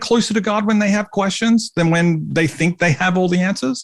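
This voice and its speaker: A man's high voice with an Australian accent at a moderate pace, in a dry, close sound with no echo. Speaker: podcast host. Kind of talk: podcast interview.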